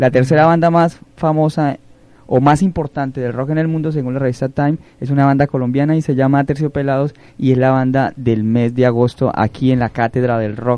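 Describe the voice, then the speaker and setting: A man's dark, mellow voice at a medium pitch with fairly even intonation. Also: fairly quick pace. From Colombia, Caquetá. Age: 20s. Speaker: radio host and teacher. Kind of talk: radio presenting.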